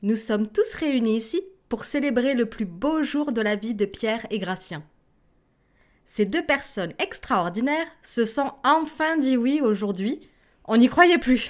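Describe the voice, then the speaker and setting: In a warm, playful tone, a woman with a high pitch speaks at a very slow pace, her intonation lively. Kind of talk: toast speech at a wedding, read aloud as a language-lesson example. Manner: warm, formal and celebratory, with playful teasing.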